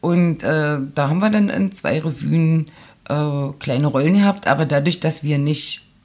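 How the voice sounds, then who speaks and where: The woman's very deep, low voice moves at a moderate pace, its pitch varying in an ordinary way. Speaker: journalist and author. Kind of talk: casual interview chat.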